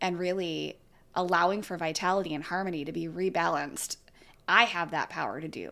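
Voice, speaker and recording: A woman's bright, sharp tone with vocal fry, fairly even intonation and a fairly quick pace, in a very clean recording with a silent background. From California. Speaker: yoga teacher. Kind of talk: casual chat.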